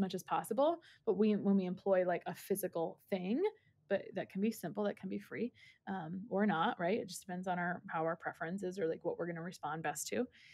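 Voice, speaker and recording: An ordinary speaking voice, this woman's sits at a medium pitch with ordinary pitch variation, moving at a fairly quick pace in a very clean recording with a silent background. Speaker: dietitian nutritionist. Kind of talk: casual chat.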